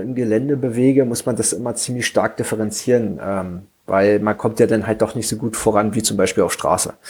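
A man with an unremarkable speaking voice talks at a medium pitch and a moderate pace, with fairly even intonation and hardly any pauses. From eastern Germany, Frankfurt (Oder). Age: 30s. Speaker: bikepacking cyclist. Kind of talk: casual chat.

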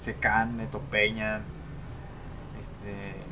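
A man with a fairly low voice at a very slow pace, amid noticeable background noise and audible room echo. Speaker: podcast co-host. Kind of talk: casual chat.

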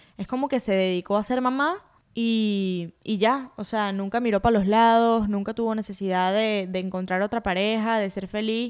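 In a Venezuelan accent, a woman speaks at a fairly high pitch and a fairly quick pace. The recording is very clean, with a silent background. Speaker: podcast host. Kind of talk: solo casual monologue. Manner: animated.

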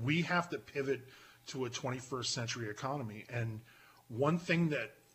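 A man with an American accent speaks in a plain, everyday voice at a moderate pace, with a medium pitch and ordinary pitch variation. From Pennsylvania. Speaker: podcaster. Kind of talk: casual chat.

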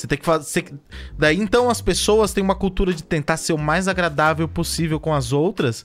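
A man's fairly high, ordinary speaking voice at a fairly quick pace, with ordinary pitch variation. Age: 30s. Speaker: podcast host. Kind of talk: casual chat.

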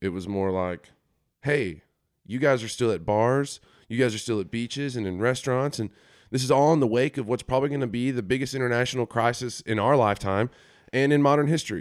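An ordinary speaking voice belonging to a man moves at a fairly quick pace with medium pitch and ordinary pitch variation, captured on a very clean recording with a silent background. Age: 20s. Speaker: podcast host. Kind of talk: solo monologue podcast. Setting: home office studio. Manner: casual, conversational.

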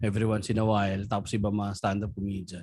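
A man speaks fairly quickly in an animated tone. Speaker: stand-up comedian. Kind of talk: casual chat.

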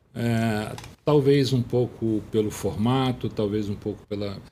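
A man's fairly low voice with a dark, mellow tone and fairly even intonation. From Teresópolis, Rio de Janeiro state. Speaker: journalist turned government official. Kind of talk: interview. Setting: studio. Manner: halting, many repetitions.

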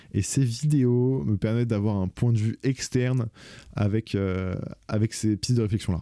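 Dark and mellow in tone, a man's medium-pitched voice moves at a moderate pace with ordinary pitch variation, in a very clean, dry, close recording with no echo and a silent background. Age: 20s. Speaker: podcaster. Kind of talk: solo casual monologue.

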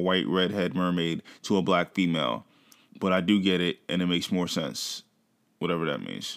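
This man has a very deep, low pitch with ordinary pitch variation. He talks at a fairly quick pace. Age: 30s. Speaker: podcast co-host. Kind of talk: casual chat.

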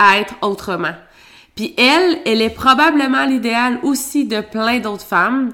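A woman's fairly high, bright, sharp voice in a Quebec accent, with lively intonation at a fairly slow pace. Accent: Québécois French. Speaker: podcast co-host, entrepreneur. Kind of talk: casual chat.

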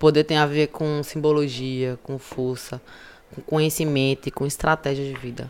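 Speaking at a moderate pace, this woman has a very deep, low pitch. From Recife, Pernambuco, Brazil. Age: 30s. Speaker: cultural producer and activist. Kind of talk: podcast interview. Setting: recorded at a literary festival. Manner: animated.

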